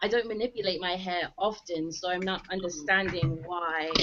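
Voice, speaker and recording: A woman with an English accent talks at a medium pitch with fairly even intonation. Noticeable background noise runs underneath. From Manchester, England. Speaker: viewer calling in with question. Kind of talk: question to a panel.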